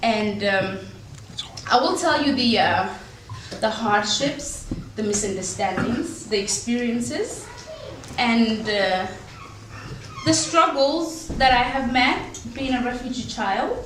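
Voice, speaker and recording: Speaking very slowly in a fairly high voice, a woman leaves long, frequent pauses and uses lively intonation. Audible room echo and noticeable background noise surround her. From Somalia. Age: 30s. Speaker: refugee speaker. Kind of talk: personal life story talk. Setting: dinner talk with audience. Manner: hesitant, many fillers.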